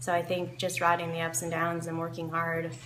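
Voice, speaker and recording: A woman's fairly low voice at a moderate pace, with audible room echo and noticeable background noise. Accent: American. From US South, Kentucky. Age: 20s. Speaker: professional event rider. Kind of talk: interview. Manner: hesitant, many fillers.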